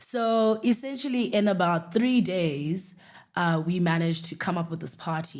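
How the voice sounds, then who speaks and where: A woman speaks in a South African accent at a moderate pace, with ordinary pitch variation. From South Africa, Eastern Cape. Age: 30s. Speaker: podcast host, entrepreneur. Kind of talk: casual personal monologue.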